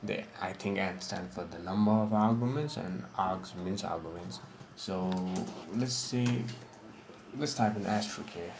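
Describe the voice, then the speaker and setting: A man with a non-native accent speaks at a fairly slow pace and a fairly low pitch, with ordinary pitch variation. Noticeable background noise runs behind him. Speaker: programming tutorial maker. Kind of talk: screen-recorded software tutorial. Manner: casual, hesitant with fillers.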